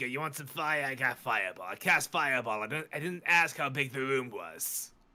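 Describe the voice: Putting on a raspy character voice, a man speaks at a moderate pace with a medium pitch.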